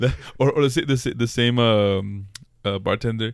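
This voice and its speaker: A man speaks at a medium pitch. His tone is animated. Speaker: podcast host. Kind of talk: casual banter chat. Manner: animated, talks over partner, laughs often.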